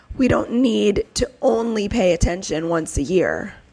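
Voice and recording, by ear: Slow and slightly mellow, a woman's voice carries vocal fry.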